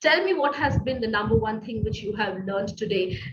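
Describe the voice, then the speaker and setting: A woman's voice is heard with noticeable background noise behind it. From Middle East. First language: not English. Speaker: business coach. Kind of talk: online masterclass. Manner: hesitant, many fillers.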